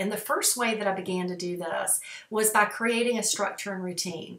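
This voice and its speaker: Audible room echo surrounds a woman's voice. She speaks at a moderate pace. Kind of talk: casual vlog talk. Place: home room. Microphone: webcam.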